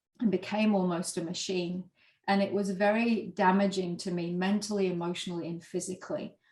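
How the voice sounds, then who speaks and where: Speaking at a fairly quick pace, a woman with a medium pitch sounds somewhat breathy, her intonation monotone and flat. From Yorkshire, northern England. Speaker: former corporate lawyer, leadership coach and author. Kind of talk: interview.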